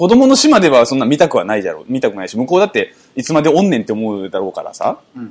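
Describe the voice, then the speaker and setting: A man talks at a very fast pace in an animated tone with vocal fry. His pitch swings very widely. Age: 30s. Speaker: podcast co-host. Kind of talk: casual chat.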